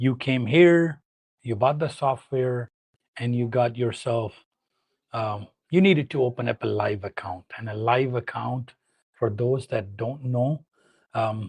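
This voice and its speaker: A man with a Pakistani accent speaks at a medium pitch with ordinary pitch variation. His voice is somewhat breathy, his pace fairly slow, with long, frequent pauses. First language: Urdu. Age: 40s. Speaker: trading educator. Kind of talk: live stream talk. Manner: halting.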